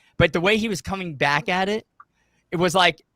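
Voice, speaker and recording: The voice is bright and sharp in tone, moving at a fairly quick pace with ordinary pitch variation, and the sound is dry and close with no echo. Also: man. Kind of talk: heated debate. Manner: fast.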